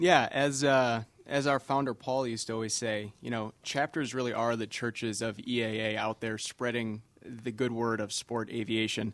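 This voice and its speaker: In an American accent, a man uses a normal speaking voice at medium pitch with fairly even intonation. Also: moderate pace. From Wisconsin, Kenosha. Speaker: aviation association staff, chapter outreach. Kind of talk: casual chat.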